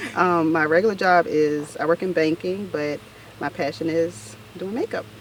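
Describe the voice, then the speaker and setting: Speaking at a moderate pace with an American accent, a woman uses a fairly low pitch and ordinary pitch variation. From US South, north Florida small town. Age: 30s. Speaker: makeup artist. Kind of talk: casual interview.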